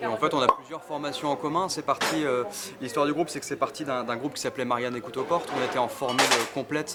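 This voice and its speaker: A man's fairly high-pitched voice at a very fast pace, over noticeable background noise. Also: ordinary pitch variation. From Brittany, France (Quimper). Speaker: street musician. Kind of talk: interview.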